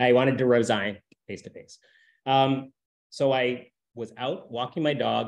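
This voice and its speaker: A man with a Canadian accent talks against a quiet background. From Alberta, Canada. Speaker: community organization director. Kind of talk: personal talk to a group. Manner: halting. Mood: reflective, candid. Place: home room. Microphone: video call.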